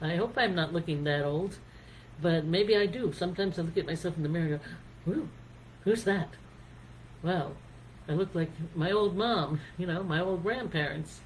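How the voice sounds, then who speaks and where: A voice in an American accent at a moderate pace, with ordinary pitch variation and long, frequent pauses. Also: woman, fairly low pitch for a woman. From United States. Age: 60s. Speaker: singer-songwriter. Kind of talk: casual talk on songwriting and life.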